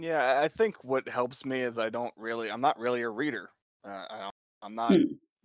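A man with an American accent has a normal speaking voice, medium pitch, and ordinary pitch variation at a moderate pace. His loudness swings widely, and the sound is dry and close with no echo. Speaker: guest, romance book reviewer. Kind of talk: casual chat, podcast interview.

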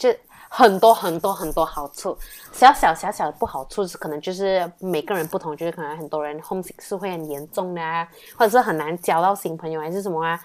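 The delivery rushes along very fast. Pitch rises and falls in a normal way, and the audio is spotless with total silence behind it. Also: woman. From Malaysia. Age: 20s. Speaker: university student. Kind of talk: casual interview chat.

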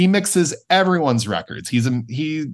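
A man is speaking against a quiet background. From US Midwest, Kansas City. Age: 30s. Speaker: songwriter and music producer. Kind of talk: casual interview chat.

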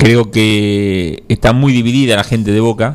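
Over noticeable background noise, a man of medium pitch speaks at a fairly slow pace. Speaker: radio host. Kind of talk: casual chat about football.

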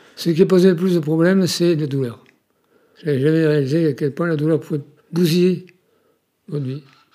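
On a very clean recording with a silent background, a man with a dark, mellow tone and fairly high pitch moves at a fairly quick pace, keeping fairly even intonation with long, frequent pauses. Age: 70s. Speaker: retiree living with Parkinson's. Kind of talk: interview testimony. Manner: halting, with repeated words.

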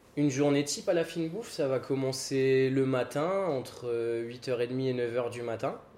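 Speaking fairly slowly, a man uses a plain, everyday voice at medium pitch with ordinary pitch variation. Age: 20s. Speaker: restaurant co-owner. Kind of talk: interview.

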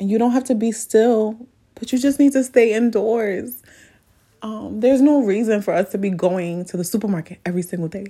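This woman's voice is fairly high in pitch and somewhat breathy. Her tone is dark and mellow. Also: ordinary pitch variation. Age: 30s. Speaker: podcast host. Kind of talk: casual monologue.

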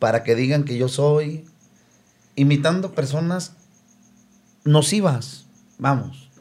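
Somewhat breathy and fairly high in pitch, a man speaks very slowly with long, frequent pauses and ordinary pitch variation. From León, Guanajuato, Mexico. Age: 50s. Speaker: band singer. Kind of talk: casual chat.

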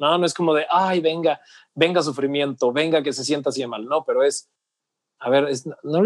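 In an ordinary speaking voice, a man talks at a moderate pace and a fairly high pitch with lively intonation, the sound dry and close with no echo against a quiet background. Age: 30s. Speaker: personal development coach. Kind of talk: casual interview chat.

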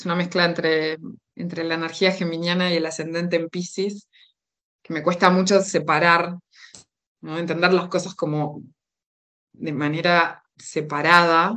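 Bright and sharp in tone, a woman's fairly low voice stays monotone and flat while her loudness swings a lot, at a fairly slow pace with long, frequent pauses. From Uruguay. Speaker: holistic therapist. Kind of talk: casual interview chat.

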